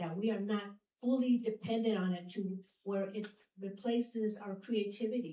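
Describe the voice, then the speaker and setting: A woman's somewhat breathy, medium-pitched voice, dark and mellow in tone, at a moderate pace with fairly even intonation. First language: not English. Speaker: city mayor. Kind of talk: public speech. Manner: halting.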